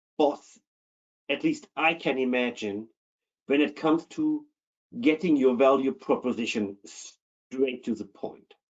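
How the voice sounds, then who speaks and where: Very wide pitch swings run through a man's fairly high voice, delivered with a German accent at a very slow pace. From Germany. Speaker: keynote speaker on internal audit. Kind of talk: webinar presentation.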